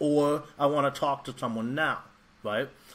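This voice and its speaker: The speaker is a man with ordinary pitch variation. His pace is moderate. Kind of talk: tutorial. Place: home room. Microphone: webcam.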